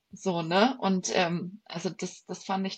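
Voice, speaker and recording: A woman's somewhat breathy voice moves at a very slow pace, at a medium pitch with fairly even intonation. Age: 30s. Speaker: bodybuilding athlete. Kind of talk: casual chat.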